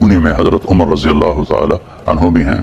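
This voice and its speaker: A man's voice shows ordinary pitch variation while noticeable background noise runs underneath. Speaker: Islamic preacher. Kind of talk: Islamic sermon (bayan). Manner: emotional, devotional storytelling.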